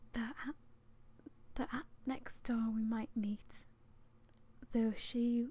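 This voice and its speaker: Soft-spoken and somewhat breathy, a woman talks in a fairly high pitch. Her tone is relaxed, dark and mellow. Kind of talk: poetry reading, soft-spoken ASMR. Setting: home, close microphone. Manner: soft-spoken, relaxed.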